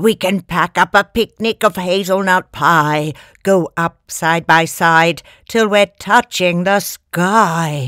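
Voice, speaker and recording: In a very clean recording with a silent background, a woman does a put-on character voice at a medium pitch and a very slow pace. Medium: read story.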